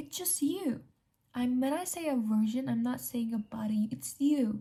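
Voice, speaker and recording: A woman with a non-native accent speaks at a moderate pace. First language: not English. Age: young. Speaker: self-improvement vlogger. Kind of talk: casual talk to camera.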